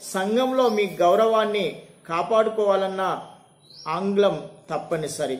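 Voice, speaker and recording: With ordinary pitch variation, the man talks in a high register. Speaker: English and maths teacher; teacher. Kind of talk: reading aloud. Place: classroom. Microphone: phone near.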